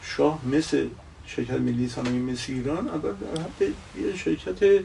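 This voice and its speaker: A man talks at a moderate pace with lively intonation. Noticeable background noise sits behind him. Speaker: retired industrial executive and engineer. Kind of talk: interview. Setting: Instagram live stream.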